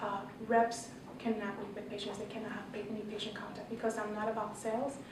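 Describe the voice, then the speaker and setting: A woman speaks at a very fast pace with a fairly high pitch and monotone, flat intonation. Audible room echo and noticeable background noise are present. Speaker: pharmacist and health educator. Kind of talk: panel presentation. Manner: halting, many fillers and repeats.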